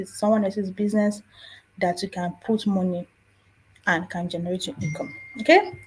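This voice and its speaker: A woman speaks with a Nigerian accent at a medium pitch. Her tone is dark and mellow, and somewhat breathy. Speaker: personal finance youtuber. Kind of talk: casual tutorial.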